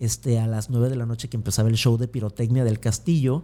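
A man's medium-pitched, dark, mellow voice, somewhat breathy, with a Mexican accent, fairly even intonation and a fairly quick pace. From Mexico, Acapulco. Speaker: motivational speaker, former theme park employee. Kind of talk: interview conversation.

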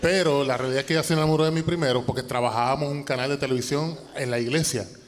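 Here a man talks at a medium pitch with fairly even intonation. Room echo is audible. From Puerto Rico, Toa Baja. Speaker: singer and cancer survivor. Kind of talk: testimony. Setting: church stage with audience.

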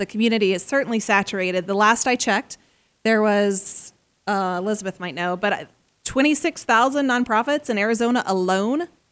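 The recording is very clean, with a silent background. A woman with a normal speaking voice talks at a fairly quick pace, her pitch fairly high with ordinary pitch variation. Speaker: nonprofit consultant. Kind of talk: interview.

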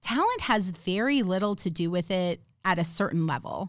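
Here is a woman with an unremarkable speaking voice at medium pitch. Her intonation is lively. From Minnesota. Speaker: actor, film producer and author. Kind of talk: casual chat. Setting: studio.

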